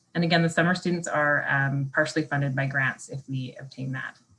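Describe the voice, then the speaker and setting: A woman's very deep, low voice, somewhat breathy, at a fairly quick pace. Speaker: municipal staff presenter. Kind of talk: staff presentation at council meeting.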